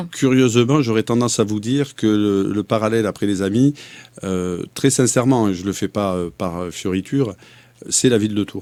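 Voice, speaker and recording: In a slight southern French accent, a dark, mellow voice speaks at a moderate pace with ordinary pitch variation on a very clean recording with a silent background. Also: man, fairly low pitch for a man. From southern France. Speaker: mayoral candidate. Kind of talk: interview.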